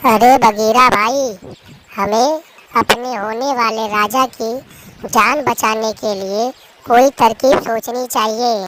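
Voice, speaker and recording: A cartoonish character voice that sounds female speaks at a very slow pace in a fairly high pitch. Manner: earnest, urgent.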